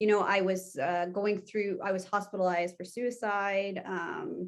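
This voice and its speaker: At a moderate pace, a woman speaks with a medium pitch and fairly even intonation. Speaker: former course student sharing her story. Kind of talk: testimonial interview. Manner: loud and strong.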